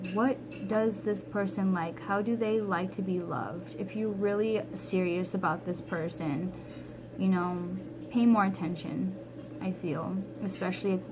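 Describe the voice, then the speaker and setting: Speaking at a fairly slow pace, a woman with a medium pitch and ordinary pitch variation is heard over noticeable background noise and audible room echo. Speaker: tarot reader. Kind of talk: tarot reading monologue. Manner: casual, conversational.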